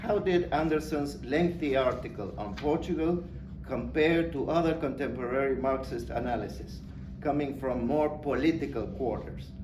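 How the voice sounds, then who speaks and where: A man's fairly high voice at a moderate pace, with ordinary pitch variation, music in the background and audible room echo. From Argentina. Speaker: academic speaker. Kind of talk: conference talk. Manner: formal.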